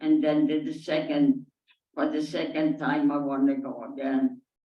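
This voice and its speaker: Fairly slow speech from a woman with a non-native accent. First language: not English. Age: 80s+. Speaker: Holocaust survivor. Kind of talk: audience Q&A testimony. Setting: synagogue with audience. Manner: halting.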